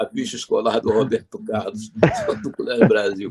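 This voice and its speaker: Male speech at a moderate pace with very wide pitch swings, amid noticeable background noise. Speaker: veteran radio broadcaster, interviewee. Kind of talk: interview answer, storytelling anecdotes.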